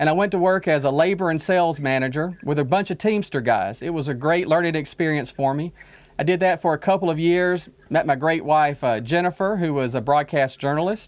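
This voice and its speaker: Speaking at a fairly quick pace with an Alabama accent, a man has a fairly high pitch and ordinary pitch variation. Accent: Southern US (Alabama). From Alabama, US South. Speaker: diplomat. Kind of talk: interview.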